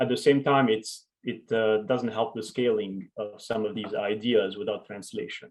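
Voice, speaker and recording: Hardly pausing, a man talks at a moderate pace in a medium-pitched voice with fairly even intonation. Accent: French. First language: French. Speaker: education researcher and author. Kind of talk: conference Q&A conversation.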